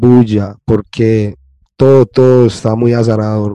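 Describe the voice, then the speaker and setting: On a dry, close recording with no echo, a man with a dark, mellow tone speaks at a very slow pace with fairly even intonation. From Colombia. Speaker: podcast host. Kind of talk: casual chat.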